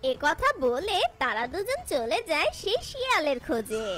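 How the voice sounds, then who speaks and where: A cartoonish character voice talks at a high pitch with very wide pitch swings. The pace is moderate, and background noise is clear. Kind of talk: folk tale narration.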